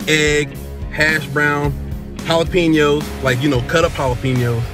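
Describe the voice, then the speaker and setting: A man talks at a moderate pace with clear music in the background. The sound is dry, with no echo. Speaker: food reviewer. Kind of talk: casual vlog chat. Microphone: phone near.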